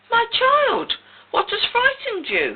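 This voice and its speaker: Here is a squeaky, put-on character voice. It moves at a fairly slow pace. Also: woman, extremely high pitch for a woman. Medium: read story. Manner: authoritative.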